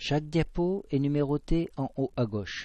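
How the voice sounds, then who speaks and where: A man speaks with a southwestern French accent. He talks at a fairly slow pace. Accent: southwest French. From southwest France. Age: 50s. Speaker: amateur science presenter. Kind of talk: scripted narration.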